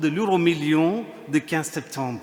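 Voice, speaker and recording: Very slowly, a man gets his words out while noticeable background noise carries on. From India. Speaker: priest. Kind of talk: sermon. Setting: church.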